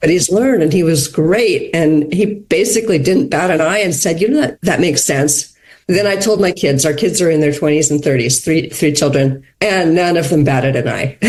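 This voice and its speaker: Using a plain, everyday voice with an American accent, a woman speaks at a fairly low pitch and a moderate pace. Her intonation is lively, and she leaves hardly any pauses. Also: very even loudness. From USA. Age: 60s. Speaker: podcast guest. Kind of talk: casual chat.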